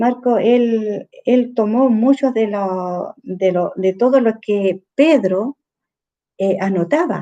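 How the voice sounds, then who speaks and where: A woman with a fairly high pitch and a dark, mellow tone speaks at a very slow pace, with ordinary pitch variation. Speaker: church discipleship teacher. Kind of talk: bible study lesson. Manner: halting with fillers.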